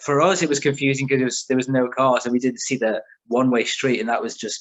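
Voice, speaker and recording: At a very fast pace, a man speaks with medium pitch. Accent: northern English. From England, raised partly in south of France. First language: French. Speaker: car magazine creator. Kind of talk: casual chat. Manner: animated.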